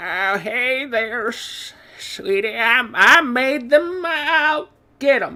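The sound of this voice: In a put-on character voice that sounds female, the speaker talks at a very slow pace with a fairly high pitch, creaky and shaky.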